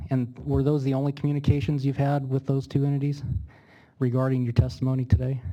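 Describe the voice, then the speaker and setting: Very fast and monotone, a man at a medium pitch speaks with a dark, mellow tone on a very clean recording with a silent background. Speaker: attorney. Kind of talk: legal cross-examination.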